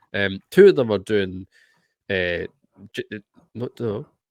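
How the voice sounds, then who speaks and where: A man with a Scottish accent speaks at a fairly low pitch with ordinary pitch variation. His loudness swings widely, pauses are long and frequent, and the sound is dry and close with no echo. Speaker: podcast host. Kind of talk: casual chat. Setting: video call.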